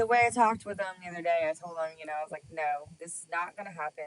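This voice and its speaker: A woman with a slight Texas accent speaks with very wide pitch swings. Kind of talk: casual chat.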